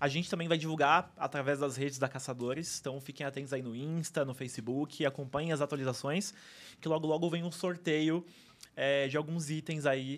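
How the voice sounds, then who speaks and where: The recording is very clean, with a silent background. A man with a fairly high pitch talks at a moderate pace, using ordinary pitch variation. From São Paulo, Brazil. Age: 20s. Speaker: theme park enthusiast. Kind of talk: interview. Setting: studio.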